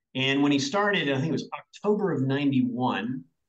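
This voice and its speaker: An energetic voice with a Southern US accent speaks with ordinary pitch variation. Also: man. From US South, Arkansas. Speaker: business executive. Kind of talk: interview.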